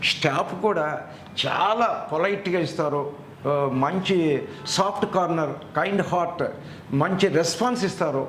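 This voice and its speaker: Audible room echo and noticeable background noise surround a man's high voice, which keeps very even loudness and ordinary pitch variation. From Andhra Pradesh, Machilipatnam. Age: 70s. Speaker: dental patient. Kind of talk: testimony.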